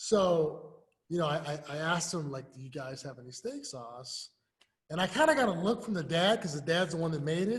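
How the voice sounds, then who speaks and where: The speaker has an American accent and talks at a moderate pace. The intonation is lively, and the loudness swings widely. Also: man, high pitch for a man. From US Midwest, inner city of Lincoln. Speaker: youth sports coach and nonprofit founder. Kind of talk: interview. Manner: casual, animated.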